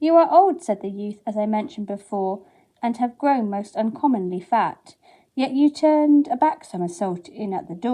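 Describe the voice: The intonation here is lively. The delivery is plain reading aloud.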